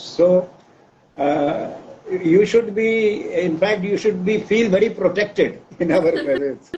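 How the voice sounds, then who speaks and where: This man speaks very slowly, and noticeable noise sits behind him. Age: 80s+. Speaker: professor. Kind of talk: interview.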